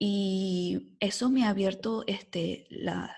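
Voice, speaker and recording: A woman's medium-pitched voice is somewhat breathy, with a dark, mellow tone. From Venezuela (Caracas). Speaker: epidemiologist. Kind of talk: podcast interview. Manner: animated.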